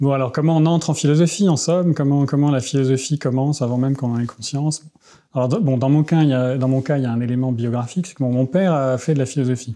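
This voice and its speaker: Against a quiet background, a man talks very fast with a dark, mellow tone, fairly high pitch and fairly even intonation. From France (childhood in Tehran, Iran). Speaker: philosopher; interviewee. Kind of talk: interview. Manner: halting, many hesitations. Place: home room. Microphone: lapel.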